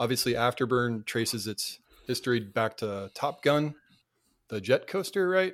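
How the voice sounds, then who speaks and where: A man with an unremarkable speaking voice talks in an American accent at a medium pitch, with lively intonation. His pace is moderate, and the recording is very clean with a silent background. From Cape Cod, Massachusetts. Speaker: YouTuber. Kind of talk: casual chat.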